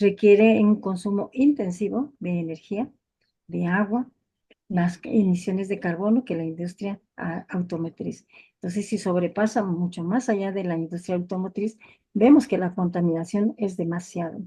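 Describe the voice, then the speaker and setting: A woman with a Mexican accent speaks at a moderate pace in a medium pitch, her dark, mellow tone somewhat breathy, with ordinary pitch variation. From Mexico. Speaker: family physician, lecturer. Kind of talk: lecture. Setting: video call webinar.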